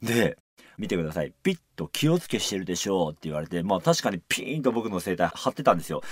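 There is a quiet background and a dry sound with no echo. A man speaks at a fairly quick pace with very wide pitch swings. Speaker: musical actor and radio host; musical actor, radio host. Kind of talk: radio talk show. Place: studio.

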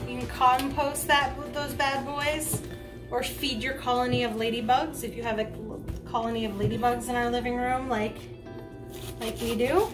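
With clear music in the background, a woman speaks at a high pitch, leaving long, frequent pauses. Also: fairly even intonation, moderate pace. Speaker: cooking video host. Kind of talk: casual how-to talk to camera. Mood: playful, joking. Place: kitchen.

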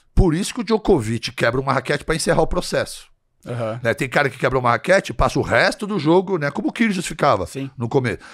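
Over a quiet background, a man talks very fast at a fairly high pitch with very wide pitch swings. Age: 60s. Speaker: physician and health influencer; health influencer. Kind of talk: casual chat. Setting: studio. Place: studio. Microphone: studio mic.

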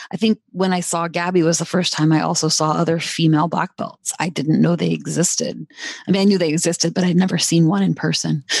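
Talking at a very fast pace, a woman uses a fairly low pitch, fairly even intonation and vocal fry. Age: 40s. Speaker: jiu-jitsu instructor and gym owner. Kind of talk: podcast interview.

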